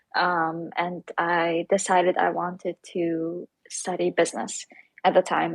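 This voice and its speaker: A woman speaks in a fairly low pitch, recorded very clean, dry and close, with no echo and a silent background. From Syria. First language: Arabic. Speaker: startup founder. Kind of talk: interview.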